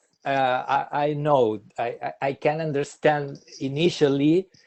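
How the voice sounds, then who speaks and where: A man with a Spanish accent at a fairly slow pace. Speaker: obstetric health expert. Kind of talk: webinar Q&A. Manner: halting.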